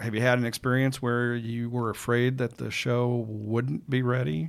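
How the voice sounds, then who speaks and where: Delivered at a moderate pace with ordinary pitch variation, it is a normal speaking voice in an American accent. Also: man. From Chicago. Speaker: trade magazine podcast host. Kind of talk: interview. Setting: in guest's office.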